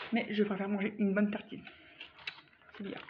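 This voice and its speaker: A woman is talking. Noticeable background noise runs under her voice. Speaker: vlogger. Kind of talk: casual product review vlog. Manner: animated.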